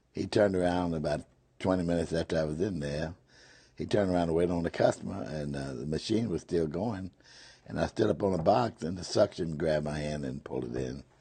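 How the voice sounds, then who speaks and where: Very deep and low in pitch, a man speaks with a dark, mellow tone. His pace is very fast, with ordinary pitch variation. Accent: Memphis. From US South, Memphis, Tennessee. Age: 80s+. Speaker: retired whiskey salesman. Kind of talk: interview.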